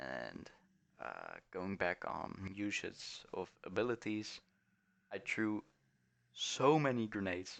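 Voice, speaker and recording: A man with a fairly low pitch speaks with lively intonation. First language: not English. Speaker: gaming streamer. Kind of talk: gameplay commentary. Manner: halting.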